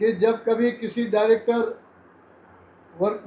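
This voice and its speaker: Speaking with monotone, flat intonation, a man has a high-pitched voice with a dark, mellow tone. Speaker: union leader. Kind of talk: interview.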